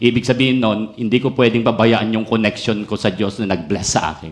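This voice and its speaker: A man talks at a moderate pace, his fairly low voice keeping fairly even intonation. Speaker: pastor. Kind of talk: sermon. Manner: emphatic, sounds almost angry.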